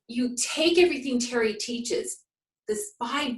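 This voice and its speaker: The tone is energetic, with very wide swings in pitch. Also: woman. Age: 60s. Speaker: health program client sharing success story. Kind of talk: testimonial interview.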